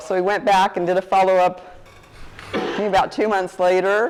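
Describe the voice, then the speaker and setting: Over noticeable background noise, a woman talks at a moderate pace and medium pitch. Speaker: guest speaker on herbs. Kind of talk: talk to a group. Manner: quiet; casual.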